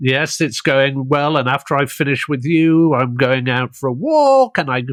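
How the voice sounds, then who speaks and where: Over a quiet background, a man with a British accent talks at a moderate pace, the sound dry and close with no echo. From Britain. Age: 60s. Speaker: podcast host. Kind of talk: interview.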